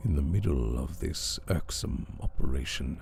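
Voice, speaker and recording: Speaking in a calm tone at a fairly slow pace, a man lets his pitch swing very widely over noticeable background noise. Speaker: storyteller. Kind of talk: horror story reading. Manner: calm, relaxing.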